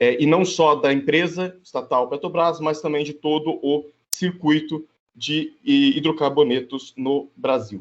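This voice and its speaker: A man's fairly high voice with ordinary pitch variation at a fairly slow pace. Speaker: geography professor. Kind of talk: conference presentation. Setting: video call. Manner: hesitant, many filler sounds.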